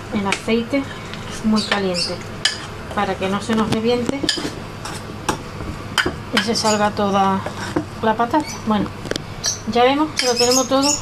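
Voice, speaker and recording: Loud background noise sits under the recording. A woman speaks at a moderate pace. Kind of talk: tutorial. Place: kitchen. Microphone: phone near.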